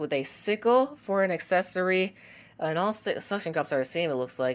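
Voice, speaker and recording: A soft-spoken woman's lively, fairly low-pitched speech at a moderate pace over a quiet background. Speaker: toy review youtuber. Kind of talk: casual commentary. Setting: at home. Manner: soft-spoken, quiet to avoid waking household; halting, many fillers.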